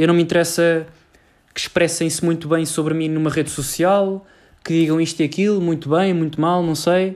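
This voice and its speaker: A man with a Lisbon accent speaks at a moderate pace in a high pitch, with monotone, flat intonation. The recording is very clean, with a silent background. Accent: European Portuguese, Lisbon. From Portugal, Lisbon area (Cascais). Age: young. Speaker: university student podcaster. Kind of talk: solo podcast monologue. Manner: casual, halting with fillers.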